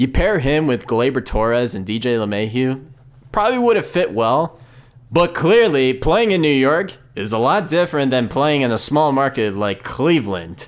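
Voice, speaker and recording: At a moderate pace, a man talks at medium pitch, his voice making very wide pitch swings. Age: 20s. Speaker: sports podcast host. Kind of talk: solo sports commentary podcast. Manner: animated.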